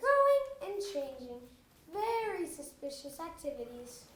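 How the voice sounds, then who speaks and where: An extremely high, squeaky put-on character voice with a pompous tone and very wide pitch swings. It moves at a moderate pace, with a slight echo. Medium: stage play.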